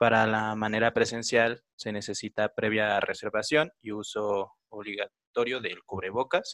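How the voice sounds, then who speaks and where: A man speaks fairly slowly in an unremarkable speaking voice, medium in pitch, with fairly even intonation and a dry, close sound with no echo. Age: 20s. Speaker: podcast host. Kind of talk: interview.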